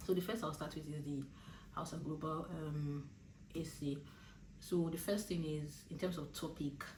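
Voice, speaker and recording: A woman's very deep, low, somewhat breathy voice with a Nigerian accent, in a monotone, flat intonation at a moderate pace, with long, frequent pauses and audible room echo. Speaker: law student and vlogger. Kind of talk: casual advice vlog. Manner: hesitant, many fillers.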